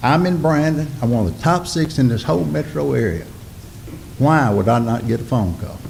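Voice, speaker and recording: In a Mississippi accent, a man talks at a moderate pace with a medium pitch and very wide pitch swings. Noticeable background noise and audible room echo fill the recording. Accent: Southern US (Mississippi). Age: 60s. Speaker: local business owner addressing city board. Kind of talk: public comment at city board meeting. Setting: city board meeting. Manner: impassioned.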